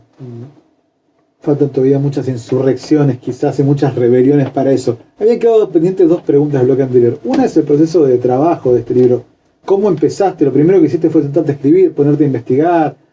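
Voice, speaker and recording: At a very fast pace, a somewhat breathy man talks with a fairly high pitch. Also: ordinary pitch variation. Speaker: radio host. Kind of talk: radio interview.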